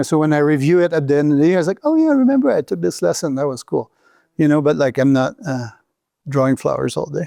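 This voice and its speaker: A man speaks very fast in a fairly high voice with a dark, mellow tone. The sound is dry and close with no echo, over a quiet background. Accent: Quebec. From Quebec City, Canada. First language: French. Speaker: outdoor business founder, former mountain guide. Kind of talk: podcast interview.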